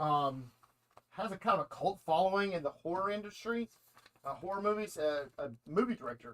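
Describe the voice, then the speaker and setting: This man speaks in a high voice with lively intonation and a Southern US accent. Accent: Southern drawl. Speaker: comic shop host. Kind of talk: casual chat. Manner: halting.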